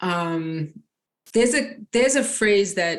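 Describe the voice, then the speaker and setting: A woman's voice in a strong New York accent, with lively intonation. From Long Island, New York. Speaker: nurse and life coach. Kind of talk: interview.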